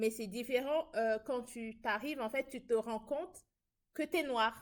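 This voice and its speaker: Speaking very slowly with a Parisian accent, a woman uses a high pitch and ordinary pitch variation. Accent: Parisian-sounding French. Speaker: international student. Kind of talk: casual chat.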